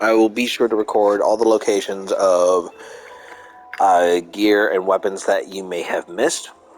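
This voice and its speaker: With music in the background, a man talks at a moderate pace, fairly low in pitch with fairly even intonation. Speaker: gameplay streamer. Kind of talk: casual commentary. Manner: halting, with fillers and self-corrections.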